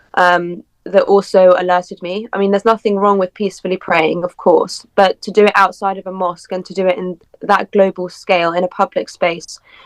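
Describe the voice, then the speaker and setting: With a British accent, a woman speaks fairly quickly at a medium pitch in a monotone, flat intonation, the sound dry and close with no echo. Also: big swings in loudness. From UK. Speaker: political commentary guest. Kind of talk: podcast interview.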